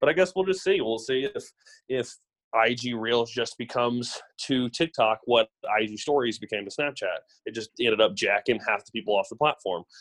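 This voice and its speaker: A man with an American accent and an unremarkable speaking voice talks at a moderate pace and medium pitch, his intonation lively and his loudness swinging widely, in a dry, close sound with no echo on a very clean recording with a silent background. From US South, Memphis, Tennessee. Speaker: social media ad agency partner. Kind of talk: casual interview chat.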